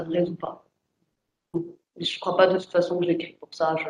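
Monotone and flat in intonation, a woman speaks at a fairly low pitch. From France. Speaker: writer. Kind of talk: panel discussion. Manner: halting.

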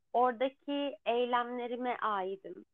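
A woman speaks in a high pitch. Her pace is very slow. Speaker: podcast co-host. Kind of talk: casual chat.

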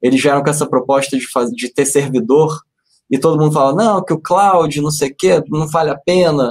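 This man talks in a normal speaking voice, keeping a moderate pace and an ordinary amount of pitch variation. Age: 30s. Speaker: investment analyst. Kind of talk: finance webinar.

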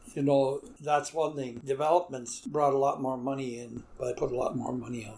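Hardly any pauses break the speech of a man with a Canadian prairie accent, whose loudness swings widely. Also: fairly high pitch for a man, fairly even intonation, moderate pace. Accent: rural Canadian prairie. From Manitoba, Canada (St. Andrews area near Winnipeg). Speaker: retired farmer and longtime resident. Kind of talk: oral history interview. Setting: at home on his property.

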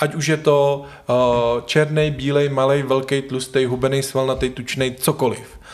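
At a moderate pace, a man speaks at a fairly high pitch with monotone, flat intonation. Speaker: podcast host. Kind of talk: casual interview conversation. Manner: stumbling, filler-heavy.

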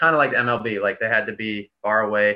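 This is an unremarkable speaking voice with an American accent. The pace is moderate. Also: man. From Boston area, Massachusetts. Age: 30s. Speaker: professional baseball player. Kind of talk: casual interview chat.

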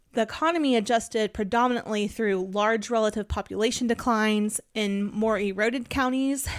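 A woman with an American accent speaks at a moderate pace and a fairly high pitch, with fairly even intonation. She has an ordinary speaking voice, and the recording is very clean with a silent background. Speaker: podcast host. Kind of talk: casual chat.

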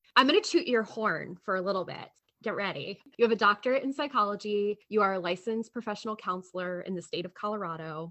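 Bright, sharp tone from a medium-pitched woman at a very fast pace over a quiet background. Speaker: podcast co-host. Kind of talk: scripted narration.

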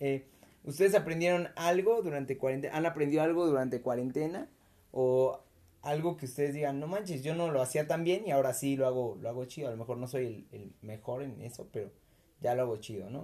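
A man's fairly high voice, fairly quick in pace, with ordinary pitch variation. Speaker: podcast host. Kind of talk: casual chat. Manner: animated.

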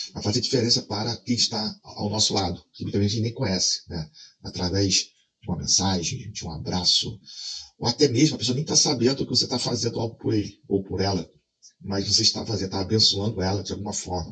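Bright and sharp in tone, a man speaks at a fairly quick pace with ordinary pitch variation. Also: fairly low pitch for a man. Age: 40s. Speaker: video creator. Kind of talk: casual vlog monologue.

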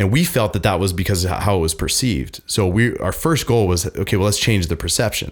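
In a very clean recording with a silent background, a man with a normal speaking voice talks fairly quickly at a fairly low pitch, with ordinary pitch variation and very even loudness. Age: 30s. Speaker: mental health nonprofit founder. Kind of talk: casual chat. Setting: studio.

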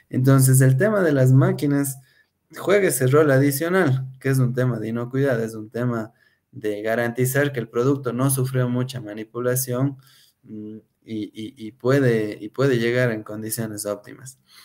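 A man with a plain, everyday voice speaks at a moderate pace and medium pitch, with ordinary pitch variation. His loudness swings widely on a very clean recording with a silent background. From Ecuador, Cuenca. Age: 30s. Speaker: food industry production engineer. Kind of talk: interview.

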